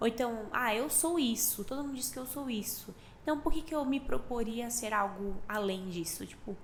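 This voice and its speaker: Soft-spoken, a woman talks at a moderate pace, fairly high-pitched with lively intonation. Audible room echo and noticeable background noise surround her. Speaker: podcast co-host. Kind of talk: casual chat.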